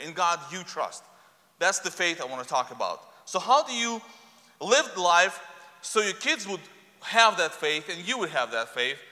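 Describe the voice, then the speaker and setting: A man with a high voice speaks at a moderate pace, his pitch swinging very widely against a quiet background. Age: 40s. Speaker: preacher. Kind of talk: sermon. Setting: church. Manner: halting. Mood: earnest, personal storytelling. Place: church. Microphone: lapel.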